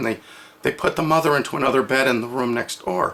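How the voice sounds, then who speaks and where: The man talks at a fairly quick pace in a medium pitch, with ordinary pitch variation. Noticeable background noise runs behind him. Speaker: toy channel storyteller. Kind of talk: oral storytelling. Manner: halting.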